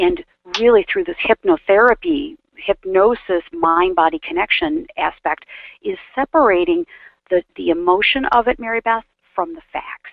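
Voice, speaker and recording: With an American accent, a woman talks at a moderate pace. Her fairly high voice moves in very wide pitch swings. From US Midwest, Chicago suburbs. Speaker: business strategist and hypnotherapist. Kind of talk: interview.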